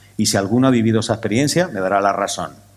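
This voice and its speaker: A man talks in an animated tone. His intonation is lively. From Canary Islands, Tenerife. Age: 60s. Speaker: scientific conference speaker. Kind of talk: conference talk.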